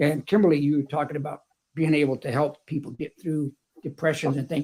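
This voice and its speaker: Fairly quick, monotone delivery from a man with a Texan accent, fairly high pitched for a man, dark and mellow in tone, somewhat breathy. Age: 70s. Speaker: retired electrician and author. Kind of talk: panel discussion.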